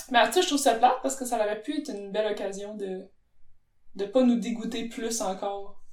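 It's a normal speaking voice at a fairly quick pace, with ordinary pitch variation. The loudness swings widely. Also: woman, fairly high pitch for a woman. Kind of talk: casual chat.

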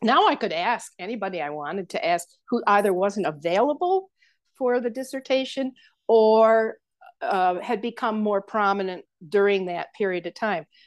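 A woman with an American accent and a plain, everyday voice, fairly high in pitch, with lively intonation at a moderate pace against a quiet background. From western New York State. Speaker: voice teacher and soprano. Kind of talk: interview.

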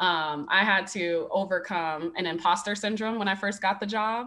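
A woman speaks with an American accent in a bright, sharp tone. The background is quiet. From Las Vegas, Nevada. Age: 30s. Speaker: college volleyball head coach. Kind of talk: casual interview.

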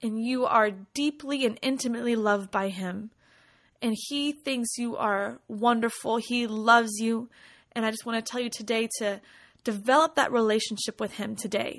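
A woman with a fairly high pitch and an ordinary speaking voice talks at a moderate pace, her intonation fairly even. The recording is very clean, the background silent. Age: 20s. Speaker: podcast host and worship leader. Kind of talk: devotional monologue. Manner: warm, conversational.

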